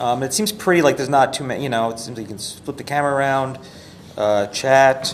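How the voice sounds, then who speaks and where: Amid noticeable background noise, a man talks at a very fast pace and medium pitch, with ordinary pitch variation and big swings in loudness. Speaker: livestreamer giving app feedback. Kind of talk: casual product feedback chat. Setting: live stream. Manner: halting, many fillers.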